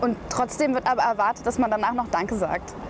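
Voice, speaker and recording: Music plays in the background. A woman with a fairly high pitch talks at a moderate pace. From Berlin, Germany. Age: 20s. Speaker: journalist and spoken word artist. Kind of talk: interview answer.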